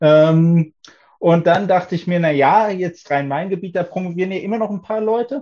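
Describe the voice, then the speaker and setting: A high-pitched male voice with a dark, mellow tone. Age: 30s. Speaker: doctoral student in economics. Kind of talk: casual interview chat.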